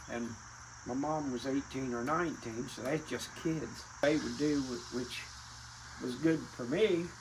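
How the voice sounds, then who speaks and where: Recorded with audible room echo and noticeable background noise, a man with an American accent speaks at a medium pitch with ordinary pitch variation. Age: 70s. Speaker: retired racing family elder. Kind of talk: casual reminiscing interview.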